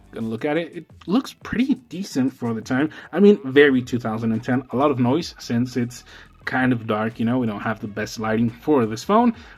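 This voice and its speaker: This man speaks with a non-native accent. His pitch is medium and his pace fairly quick. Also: ordinary pitch variation. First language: not English. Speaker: tech YouTuber. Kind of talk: product review. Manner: casual, filler-heavy.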